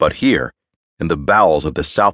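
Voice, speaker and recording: A man speaks with a very deep, low voice and some vocal fry, at a moderate pace. His tone is dramatic, and the sound is dry and close with no echo. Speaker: audiobook narrator. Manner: slips into gang-member swagger and a tense, clipped Hawker in the dialogue.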